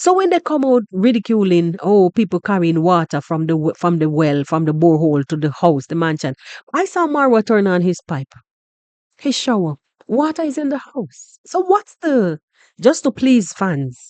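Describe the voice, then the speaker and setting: Someone with a Jamaican accent talks at a moderate pace. The background is quiet. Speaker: YouTube reaction vlogger. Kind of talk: reaction commentary. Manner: animated.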